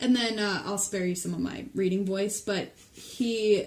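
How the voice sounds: It is a natural reading voice.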